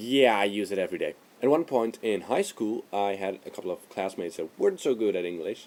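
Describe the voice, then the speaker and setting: Speaking at a fairly quick pace, a man with a non-native accent has a fairly low pitch. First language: not English. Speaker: video blogger. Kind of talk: casual vlog monologue. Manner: hesitant, with fillers.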